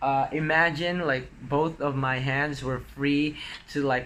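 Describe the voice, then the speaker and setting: Over noticeable background noise, a man speaks very slowly at a fairly high pitch. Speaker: vlogger. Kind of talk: casual vlog talk.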